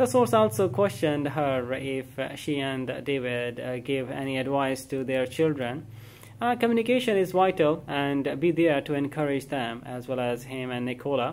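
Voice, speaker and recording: A man talks at a moderate pace, his pitch rising and falling in an ordinary way. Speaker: news reader vlogger. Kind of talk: reading entertainment news. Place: home room. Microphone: phone near.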